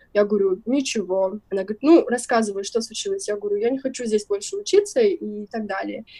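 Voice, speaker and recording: Her voice comes out somewhat breathy. This woman talks at a very fast pace. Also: ordinary pitch variation. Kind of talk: casual interview chat.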